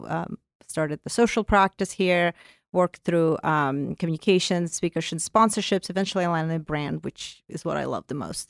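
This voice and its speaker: A woman with a Russian accent at a fairly quick pace, with ordinary pitch variation and a dry, close sound with no echo, on a very clean recording with a silent background. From Azerbaijan. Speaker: corporate brand and content executive. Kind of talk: interview conversation. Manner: hesitant, many fillers.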